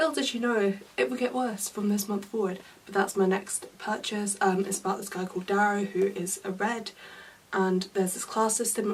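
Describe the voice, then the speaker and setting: Over noticeable background noise, a woman with a British accent talks at a fairly quick pace in a medium pitch. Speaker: book vlogger. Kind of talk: casual vlog. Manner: fast; hurried.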